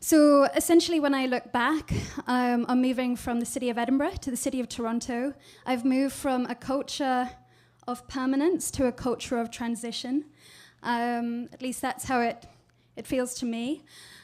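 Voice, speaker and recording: Speaking with a British accent, a woman uses a high pitch. Her intonation stays fairly even at a moderate pace. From Scotland. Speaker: digital strategist. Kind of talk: presentation talk. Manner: hesitant, many fillers.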